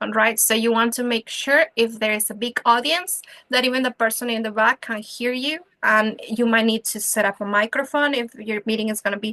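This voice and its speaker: In a non-native accent, a woman speaks at a fairly quick pace with a bright, sharp tone and fairly even intonation, the sound dry and close with no echo. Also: fairly high pitch for a woman. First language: not English. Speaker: club leadership trainer. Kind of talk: training seminar. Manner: conversational, with frequent fillers.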